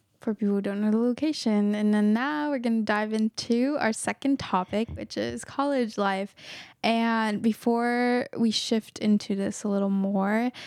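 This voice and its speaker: A woman with a plain, everyday voice speaks at a fairly slow pace, her fairly high pitch held to a fairly even intonation, on a very clean recording with a silent background. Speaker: student radio co-host. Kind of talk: casual interview.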